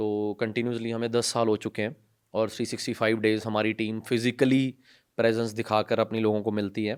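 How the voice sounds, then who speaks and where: A man talks with a Punjabi accent at a medium pitch. His pace is moderate and his intonation monotone and flat. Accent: Punjabi-accented Hindi. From Punjab, India. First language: Punjabi (speaking Hindi). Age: 20s. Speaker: NGO founder and social worker. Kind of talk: podcast interview. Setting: studio.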